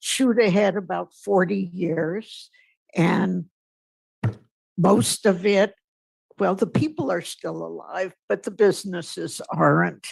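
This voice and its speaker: A woman talks at a very slow pace with long, frequent pauses. Her pitch is medium, and there is vocal fry. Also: ordinary pitch variation. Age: 80s+. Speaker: public commenter, retired teacher. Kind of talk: public comment at a meeting.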